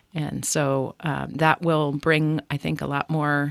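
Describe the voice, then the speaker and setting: Very deep and low for a woman, her voice carries vocal fry and monotone, flat intonation. The recording is very clean with a silent background, and the sound is dry and close with no echo. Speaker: state election official. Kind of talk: radio interview.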